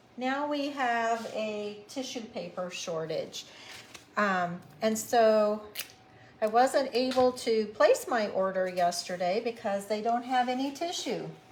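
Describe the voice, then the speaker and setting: Over noticeable background noise, a woman with fairly high pitch and ordinary pitch variation speaks at a very slow pace. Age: 70s. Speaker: craft tutorial host. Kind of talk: casual chat; live craft tutorial.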